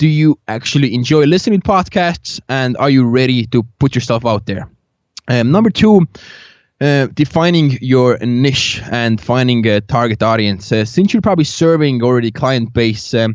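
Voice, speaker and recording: The speaker talks with lively intonation. The voice carries a non-native accent. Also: man, medium pitch for a man, moderate pace. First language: not English. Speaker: agency founder and podcaster. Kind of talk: podcast interview. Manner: halting, many fillers.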